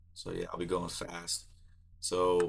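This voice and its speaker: His pitch very deep and low, a man speaks with a bright, sharp tone. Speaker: land surveyor. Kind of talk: tutorial. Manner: casual.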